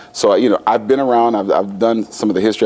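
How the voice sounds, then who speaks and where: A man's voice over noticeable background noise. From US, western Pennsylvania (Meadville). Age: 50s. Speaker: school administrator and educator. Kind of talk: studio interview. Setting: studio. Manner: halting, many fillers.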